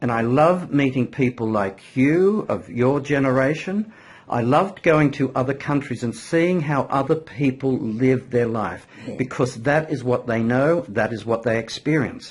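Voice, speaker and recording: Here a man speaks with an Australian accent at a medium pitch. His pace is fairly slow. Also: ordinary pitch variation. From Australia, New South Wales. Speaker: marketing consultant. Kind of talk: interview host talk.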